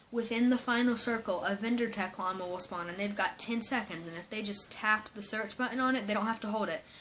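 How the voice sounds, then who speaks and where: Ordinary pitch variation runs through this voice, set against noticeable background noise. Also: woman. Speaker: gaming youtuber. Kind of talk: casual commentary. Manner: hesitant, with fillers.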